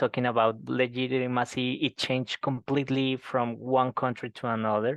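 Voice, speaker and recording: A man with a Colombian accent talks at a moderate pace and medium pitch, flat and monotone, with hardly any pauses. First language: Spanish. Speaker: professor. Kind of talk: seminar Q&A. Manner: halting.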